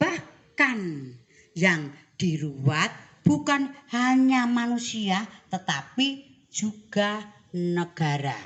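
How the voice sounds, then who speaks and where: Very wide pitch swings mark a woman's medium-pitched voice at a very slow pace. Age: old. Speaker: ruwatan puppeteer (dalang) of the Surakarta palace. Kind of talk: interview answer.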